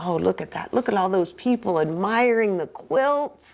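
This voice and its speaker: Woman's medium-pitched voice with lively intonation. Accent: Southern US. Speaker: pastor. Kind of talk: reading aloud.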